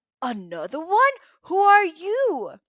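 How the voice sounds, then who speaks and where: A put-on character voice, bellowing at an extremely high pitch. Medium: read story.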